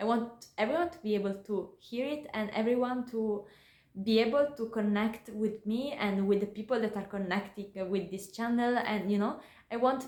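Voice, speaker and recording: A woman with an Italian accent, fairly high in pitch, at a moderate pace with ordinary pitch variation. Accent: Italian accent in English, imperfect English. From Italy. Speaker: YouTuber. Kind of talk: personal vlog talk to camera. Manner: calm, thoughtful with hesitations; halting, searching for words.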